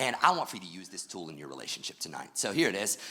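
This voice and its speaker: The voice has vocal fry and a bright, sharp tone. It moves at a very fast pace with very wide pitch swings. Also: man. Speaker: church pastor. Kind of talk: church sermon. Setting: in front of a live church audience.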